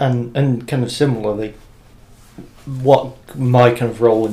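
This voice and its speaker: Slowly and somewhat breathily, a man speaks in a dark, mellow tone. His intonation stays monotone and flat. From Britain. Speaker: podcast co-host and editor. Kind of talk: casual chat.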